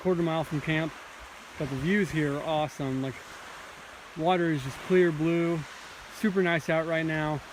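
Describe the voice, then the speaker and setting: Long, frequent pauses break up speech delivered at a moderate pace. Noticeable background noise runs underneath. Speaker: hiker on a backpacking trip. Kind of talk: casual vlog narration. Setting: outdoors on a hiking trail. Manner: casual, hesitant with fillers.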